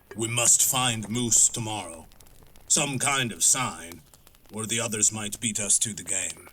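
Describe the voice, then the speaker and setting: A man's put-on character voice at medium pitch and a fairly slow pace. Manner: terse.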